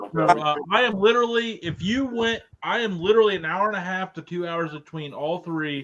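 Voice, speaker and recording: Speaking with an Ohio accent, a man talks at a fairly quick pace in a high pitch with ordinary variation. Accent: Ohio American. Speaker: podcast co-host. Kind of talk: casual chat. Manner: animated.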